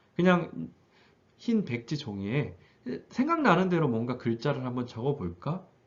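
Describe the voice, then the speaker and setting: Somewhat breathy and fairly high-pitched, a man speaks with very wide pitch swings and long, frequent pauses. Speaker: high school teacher. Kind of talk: tutorial. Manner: fast.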